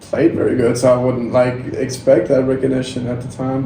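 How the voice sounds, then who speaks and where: Noticeable background noise and audible room echo fill this recording. A man of medium pitch talks at a fairly quick pace. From Denmark. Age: 20s. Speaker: volleyball player. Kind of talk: podcast interview.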